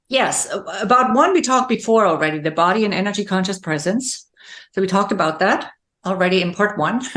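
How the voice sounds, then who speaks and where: Lively intonation marks a very fast delivery in a German accent. The background is quiet. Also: woman, medium pitch for a woman. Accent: German-speaking accent in English. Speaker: leadership coach and speaker. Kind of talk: interview conversation.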